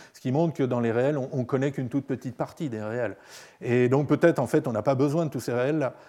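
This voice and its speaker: Against a quiet background, a man at medium pitch talks at a very fast pace with fairly even intonation. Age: 50s. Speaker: computer science professor. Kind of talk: Q&A discussion. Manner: halting.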